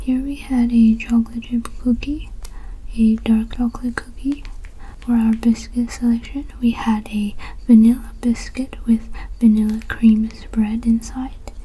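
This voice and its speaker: The speaker is soft-spoken, with a calm, soothing tone at a fairly slow pace. Noticeable background noise runs underneath. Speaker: ASMR content creator. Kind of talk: customer-service roleplay talking to the viewer as a bookstore worker. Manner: soft-spoken, calm, soothing.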